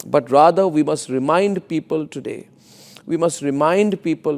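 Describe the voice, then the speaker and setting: His voice sits at a fairly high pitch for a man, with ordinary pitch variation. He talks at a moderate pace. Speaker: news anchor. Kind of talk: news commentary monologue. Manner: passionate, forceful, rhetorical.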